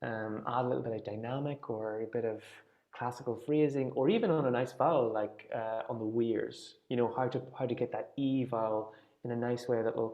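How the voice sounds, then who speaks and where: A man with a strong Irish accent talks at a fairly quick pace. His medium pitch follows a fairly even intonation. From Ireland, near Dundalk on the Louth border. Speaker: folk singing teacher. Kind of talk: online class discussion.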